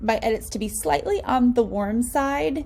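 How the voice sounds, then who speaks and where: Speaking with an American accent, a woman uses a high pitch and lively intonation at a fairly slow pace. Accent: slight country. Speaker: wedding photographer. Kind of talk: tutorial. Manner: casual, filler-heavy.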